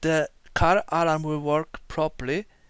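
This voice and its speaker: A non-native accent at a fairly slow pace, on a very clean recording with a silent background. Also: man. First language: not English. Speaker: car DIY video maker. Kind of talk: tutorial. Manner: halting.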